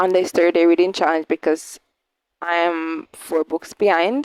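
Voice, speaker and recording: Here a woman has an unremarkable speaking voice with a fairly low pitch. She goes at a fairly slow pace, in a dry, close sound with no echo. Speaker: book reviewer. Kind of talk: casual book review vlog.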